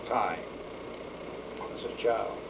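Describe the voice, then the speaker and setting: A man talks at a very slow pace, with noticeable background noise behind him. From Puerto Rico and Bronx, New York. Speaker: war veteran. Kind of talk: interview. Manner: halting.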